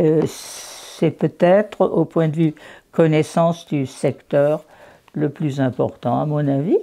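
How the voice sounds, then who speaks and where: Very slow and very deep, a woman's dark, mellow voice holds a fairly even intonation. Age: 80s+. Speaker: local historian. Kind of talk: interview answer.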